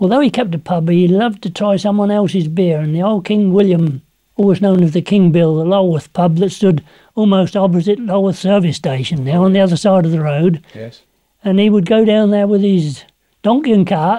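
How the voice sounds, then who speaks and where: A man's high-pitched voice with a dark, mellow tone, ordinary pitch variation and a fairly quick pace, against a quiet background. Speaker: interviewee. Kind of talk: interview answer. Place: home room. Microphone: lapel.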